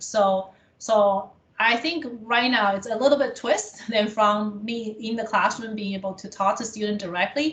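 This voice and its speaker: With a non-native accent and a fairly high pitch, a woman speaks at a moderate pace with ordinary pitch variation and big swings in loudness over noticeable background noise. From abroad, came to Canada as international student. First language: not English. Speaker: college administrator in international education. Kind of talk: interview. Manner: halting with fillers.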